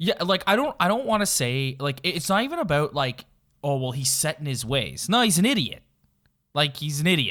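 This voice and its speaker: A man talks at a fairly quick pace with a fairly high pitch and lively intonation. His tone is bright and sharp. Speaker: podcast host. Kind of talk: casual chat.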